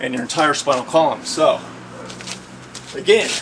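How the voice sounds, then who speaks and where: Noticeable background noise behind a high-pitched male voice. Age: 70s. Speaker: fitness instructor. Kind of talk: exercise tutorial. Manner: animated; casual, halting.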